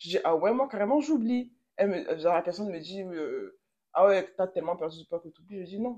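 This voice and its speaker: A dark, mellow tone with lively intonation, big swings in loudness and long, frequent pauses. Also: woman, medium pitch for a woman, fairly quick pace. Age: 20s. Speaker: psychology graduate. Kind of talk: casual chat.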